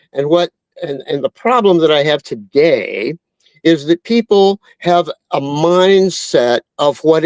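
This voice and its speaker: Very slow, high-pitched male speech with lively intonation and a dry, close sound with no echo. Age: 70s. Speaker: mortgage broker. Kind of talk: podcast interview. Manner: halting.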